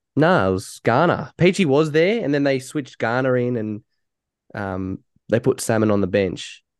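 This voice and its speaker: Against a quiet background, a man with an Australian accent speaks at a moderate pace and medium pitch with lively intonation, the sound dry and close with no echo. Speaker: podcast host. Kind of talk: casual banter.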